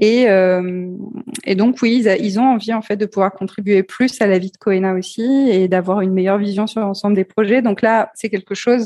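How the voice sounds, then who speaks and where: This woman's voice has a dark, mellow tone at medium pitch, with fairly even intonation and a moderate pace. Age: 40s. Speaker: entrepreneur and CEO in digital accessibility. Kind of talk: interview. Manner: hesitant, many fillers.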